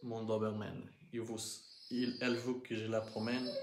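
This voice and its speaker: Very slow speech is heard with a noticeable echo from the room. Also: man. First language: Portuguese (speaking French). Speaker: crypto investing vlogger. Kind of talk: live stream monologue. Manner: halting, many hesitations.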